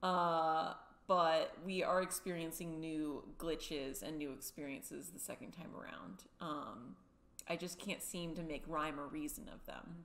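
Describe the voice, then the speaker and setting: Using vocal fry, a woman speaks at a fairly slow pace with a fairly low pitch, ordinary pitch variation and big swings in loudness. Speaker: gaming streamer. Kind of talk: casual gaming intro and commentary. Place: home room.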